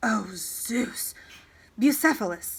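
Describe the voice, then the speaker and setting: A woman whispers in a raspy, put-on character voice with an anxious tone. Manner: whispering, anxious.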